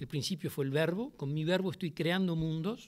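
Against a quiet background, a man speaks at a high pitch. His pace is moderate and his pitch variation ordinary. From Uruguay, Montevideo; Uruguay. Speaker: playwright and theatre director. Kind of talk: public interview before a university audience. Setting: lecture hall with audience. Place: classroom. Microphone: podium.

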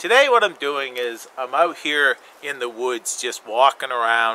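This man keeps a moderate pace and his pitch varies in an ordinary way. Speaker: bushcraft vlogger. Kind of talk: casual vlog chat. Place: forest.

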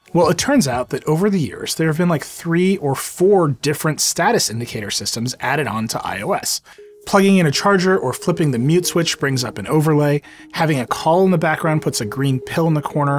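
A man talks at a fairly quick pace with lively intonation. Light background noise sits behind him. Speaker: tech reviewer. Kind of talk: product review narration. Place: studio.

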